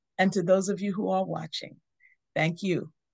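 A woman speaks with vocal fry. Her pitch is fairly low. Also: quiet background. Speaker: teaching host. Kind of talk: devotional teaching. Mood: warm, smiling. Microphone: video call.

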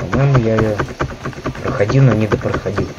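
A man talks over loud background noise. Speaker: gamer. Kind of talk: let's play commentary. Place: home room.

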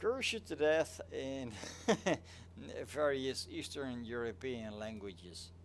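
A man speaks with a Dutch accent and lively intonation. His pace is fairly slow. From Netherlands. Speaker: flight sim streamer. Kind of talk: casual live stream chat. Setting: live stream.

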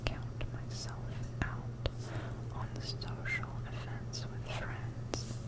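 A woman speaking at a very slow pace, with long, frequent pauses. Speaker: medical facility worker. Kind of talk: ASMR whisper ramble. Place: home room. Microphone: studio mic.

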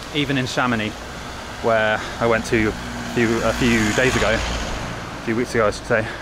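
The recording carries loud background noise. The sound itself is dry with no echo. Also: man. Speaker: travel vlogger. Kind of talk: casual vlog chat. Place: street. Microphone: phone near.

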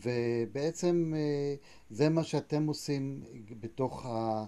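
A man's voice with ordinary pitch variation. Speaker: interviewer. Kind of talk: interview. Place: home room. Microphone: earbuds.

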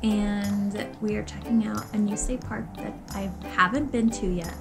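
Clear music plays in the background. The speech comes at a fairly slow pace. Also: woman. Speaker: vlogger. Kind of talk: casual vlog chat. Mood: cheerful, chatty. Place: home room. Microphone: phone near.

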